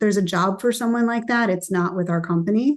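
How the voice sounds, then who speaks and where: A woman at a fairly quick pace, with fairly even intonation. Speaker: company founder and CEO. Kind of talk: casual interview chat. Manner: fast.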